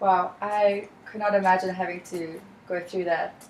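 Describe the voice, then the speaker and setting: A woman with a South African accent speaks at a moderate pace in a fairly low pitch, her intonation flat and monotone, over noticeable background noise. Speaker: student counselor in training. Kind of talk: counseling role-play session. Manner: calm, empathetic.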